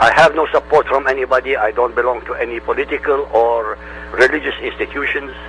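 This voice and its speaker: Noticeable background noise sits behind a man with an Arabic accent. He talks at a very fast pace. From Middle East. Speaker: independent religion researcher, YouTuber. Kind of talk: radio interview.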